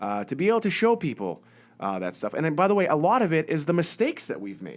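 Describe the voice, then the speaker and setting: Speech comes at a very fast pace with a slight Massachusetts accent. The recording is very clean, with a silent background. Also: man. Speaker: business owner and success coach. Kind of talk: live-stream monologue. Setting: live video stream. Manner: casual, many fillers and repetitions.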